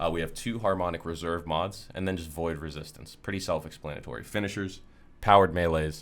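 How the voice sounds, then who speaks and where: A man speaks very fast with a very deep, low pitch. Audible room echo surrounds him. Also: ordinary pitch variation. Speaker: gaming content creator. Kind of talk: gameplay build tutorial. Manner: casual, filler-heavy.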